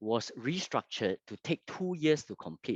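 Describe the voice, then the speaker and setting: Lively intonation in a Fujianese accent. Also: man. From Singapore. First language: Hokkien. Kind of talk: testimony. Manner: halting, many fillers.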